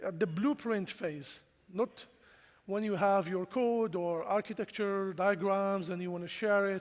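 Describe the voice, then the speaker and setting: A man's high-pitched, fairly slow speech with a non-native accent and fairly even intonation. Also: very clean recording, silent background. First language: not English. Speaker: cybersecurity engineering leader, conference speaker. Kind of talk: conference talk. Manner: casual, with filler words.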